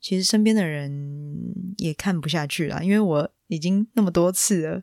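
A Taiwanese accent on a very clean recording with a silent background. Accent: Taiwanese Mandarin. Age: 20s. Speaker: podcast host. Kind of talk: personal storytelling monologue.

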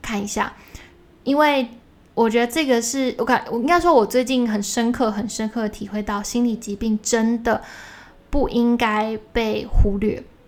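A woman talks in a normal speaking voice, pitched fairly high. She keeps a moderate pace and fairly even intonation. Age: 20s. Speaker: solo podcast host. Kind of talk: casual monologue, listener Q&A. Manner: casual, with many fillers and self-corrections.

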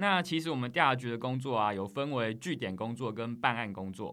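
A man's bright, sharp voice with lively intonation. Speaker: government investigator. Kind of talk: interview. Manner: articulate.

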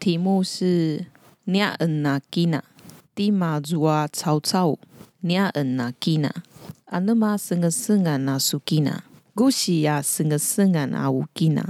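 A woman speaks at a very slow pace in a fairly low, dark, mellow voice with ordinary pitch variation. Her loudness stays very even, and the sound is dry and close with no echo. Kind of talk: casual language lesson chat.

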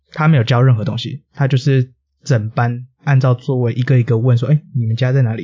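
A man's somewhat breathy voice sits at a medium pitch with fairly even intonation. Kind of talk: casual chat.

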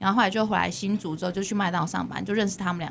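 A woman with a Taiwanese accent speaks at a medium pitch. The recording is very clean, with a silent background. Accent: Taiwanese Mandarin. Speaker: podcast host. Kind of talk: casual chat. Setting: studio.

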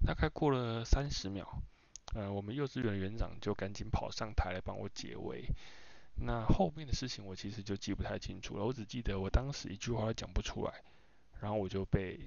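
A man speaks with a fairly low pitch and lively intonation. His pace is fairly quick. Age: 30s. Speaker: podcast host, game industry worker. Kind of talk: unscripted solo monologue. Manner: hesitant, many fillers.

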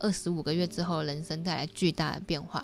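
The speaker is a woman with a fairly low pitch. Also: very clean recording, silent background. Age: 30s. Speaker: YouTuber and book club host. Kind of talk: book review livestream. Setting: home livestream. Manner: casual, chatty.

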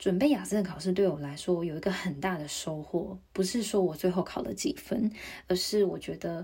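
At a moderate pace, a woman speaks in a dark, mellow tone that is somewhat breathy. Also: medium pitch for a woman, ordinary pitch variation. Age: 30s. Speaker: podcaster. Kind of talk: solo podcast monologue.

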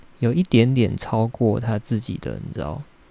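With a Taiwanese accent, a man speaks at a moderate pace in a medium pitch, with a dark, mellow tone and fairly even intonation. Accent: Taiwanese Mandarin. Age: 30s. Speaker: podcaster and graduate student. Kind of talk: personal monologue. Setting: home recording in bedroom. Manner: halting, with frequent fillers and repeated words.

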